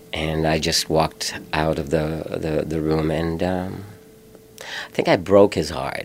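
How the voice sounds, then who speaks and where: A man speaks very slowly in a very deep, low voice with fairly even intonation over noticeable background noise. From Philippines. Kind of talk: interview. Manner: halting.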